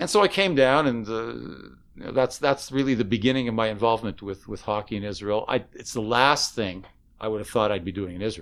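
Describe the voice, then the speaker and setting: On a very clean recording with a silent background, a man with an ordinary speaking voice talks at a fairly quick pace in a medium pitch with ordinary pitch variation. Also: hardly any pauses. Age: 60s. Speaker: synagogue spiritual director. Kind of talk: casual chat.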